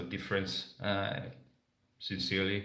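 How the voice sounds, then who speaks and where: Heard with audible room echo, a man with a non-native accent speaks fairly slowly in a fairly low voice with a bright, sharp tone. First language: not English. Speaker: motorcycle travel vlogger. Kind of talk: live stream Q&A. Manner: halting, many fillers.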